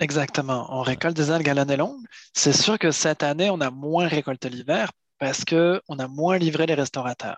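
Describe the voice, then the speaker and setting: He speaks in a normal speaking voice, fairly high for a man, with ordinary pitch variation. The sound is dry and close, with no echo. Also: moderate pace. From France, Paris region and Brittany. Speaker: seaweed harvester and entrepreneur. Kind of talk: interview.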